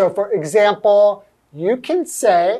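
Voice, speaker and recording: Speaking at a very slow pace in a Californian accent, a woman with medium pitch uses lively intonation. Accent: Californian American English. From US, Los Angeles. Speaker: English teacher, co-host. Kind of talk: English lesson chat.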